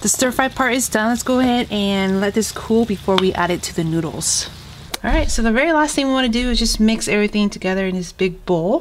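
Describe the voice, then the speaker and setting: A woman in an American accent, fairly high pitched, very fast, with lively intonation over noticeable background noise. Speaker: home cook, cooking channel host. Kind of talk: cooking tutorial talk to camera. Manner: casual, friendly.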